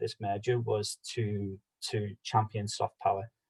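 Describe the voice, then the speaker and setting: In a Liverpool accent, a man speaks somewhat breathily with a dry, close sound and no echo. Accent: Scouse. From Liverpool, England. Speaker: policy advocate. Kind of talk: online meeting presentation. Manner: fast.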